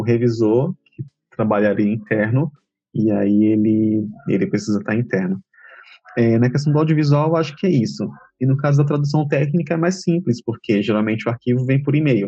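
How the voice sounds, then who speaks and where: The tone is dark and mellow, somewhat breathy. The pace is moderate and the intonation lively. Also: man, medium pitch for a man. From Bahia, Feira de Santana. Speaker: translator. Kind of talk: interview.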